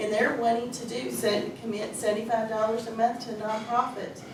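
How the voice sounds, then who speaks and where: A woman speaks at a moderate pace and a fairly high pitch. Room echo is audible, and there is noticeable background noise. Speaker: nonprofit volunteer coordinator. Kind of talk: presentation to a community meeting. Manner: animated.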